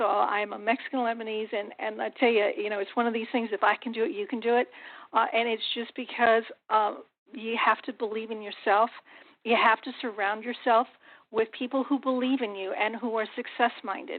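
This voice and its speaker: Fairly high in pitch, a woman speaks fairly quickly with fairly even intonation. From US-Mexico border town. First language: Spanish. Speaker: business consultant. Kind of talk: motivational speech.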